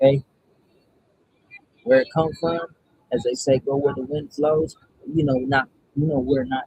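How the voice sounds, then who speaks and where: At a moderate pace, a man speaks in a fairly high pitch with a dark, mellow tone that is somewhat breathy. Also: dry, close sound with no echo. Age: 30s. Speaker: spiritual content creator doing card draws. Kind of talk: casual spiritual card reading livestream. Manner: casual, meandering with fillers.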